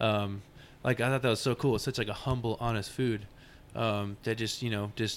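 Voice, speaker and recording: A man's medium-pitched voice with an American accent, monotone and flat, at a moderate pace, on a very clean recording with a silent background. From Texas (Arlington). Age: 20s. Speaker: barbecue pitmaster. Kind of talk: casual interview.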